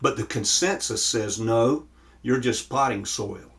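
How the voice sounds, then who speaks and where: At a fairly slow pace, a man speaks in an American accent with a somewhat breathy sound. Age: 60s. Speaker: pastor. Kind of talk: sermon. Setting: virtual church service.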